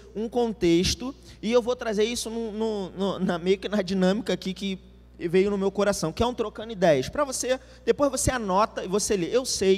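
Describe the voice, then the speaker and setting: A man talks with a high pitch. Pitch variation stays ordinary. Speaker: preacher. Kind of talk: sermon. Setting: church event with live audience. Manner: fast.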